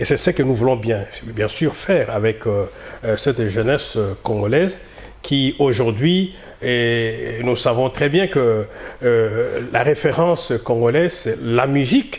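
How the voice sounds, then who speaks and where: Very slowly, a man talks at a medium pitch with ordinary pitch variation. His loudness stays very even, and there is noticeable background noise. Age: 60s. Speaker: community association leader. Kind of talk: interview. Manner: halting, many hesitations.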